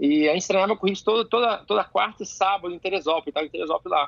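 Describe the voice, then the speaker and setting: A man talks at a very fast pace in a high voice, with ordinary pitch variation. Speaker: jiu-jitsu athlete and coach. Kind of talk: casual chat. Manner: animated.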